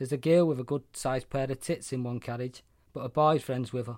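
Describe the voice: What's heard here is plain reading aloud.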